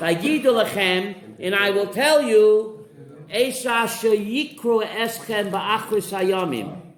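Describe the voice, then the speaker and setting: A high-pitched man's voice against noticeable background noise. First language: Yiddish. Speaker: rabbi teaching a Torah class. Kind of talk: Torah class with student interjections. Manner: animated.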